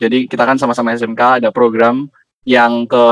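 At a moderate pace, a man speaks in an unremarkable speaking voice pitched at a medium level. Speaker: podcast host. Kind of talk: casual interview.

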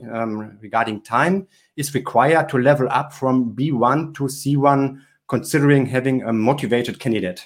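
With a German accent, a man is speaking. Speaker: podcast host. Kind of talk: interview. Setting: video call.

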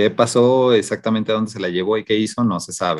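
A man's unremarkable speaking voice at a moderate pace, fairly low in pitch with ordinary pitch variation. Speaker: podcast co-host. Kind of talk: casual chat.

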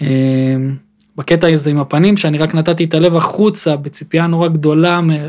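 A man speaks at a fairly high pitch in a plain, everyday voice. His pace is moderate and his intonation fairly even. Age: 20s. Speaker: podcast host. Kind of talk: casual chat. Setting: studio.

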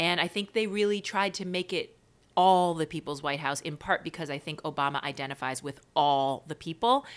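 Over a very clean recording with a silent background, a woman with an American accent uses an ordinary speaking voice at a moderate pace, her fairly low pitch showing ordinary variation. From New York (Queens). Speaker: playwright and performer. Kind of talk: casual chat.

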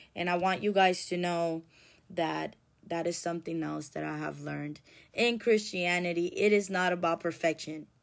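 Fairly even intonation and a moderate pace come through on a very clean recording with a silent background. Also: woman, fairly low pitch for a woman. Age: 30s. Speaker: podcast host, recovering addict. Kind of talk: personal monologue. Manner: conversational, rambling.

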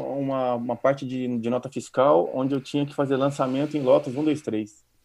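This man's voice sits fairly high and moves at a moderate pace. His intonation stays fairly even. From Brazil. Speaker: database administrator. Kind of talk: casual interview. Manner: halting, repeats words.

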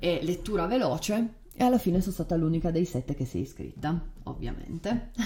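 This is a woman with an unremarkable speaking voice. Her pitch sits fairly low. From Turin, northern Italy. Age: 30s. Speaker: podcast host. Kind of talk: casual conversational podcast. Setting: home desk recording.

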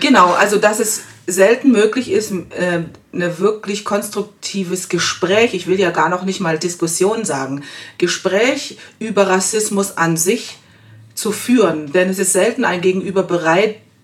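Speaking at a moderate pace, a woman uses an unremarkable speaking voice at medium pitch with ordinary pitch variation. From Germany. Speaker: guest. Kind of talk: casual discussion. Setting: studio.

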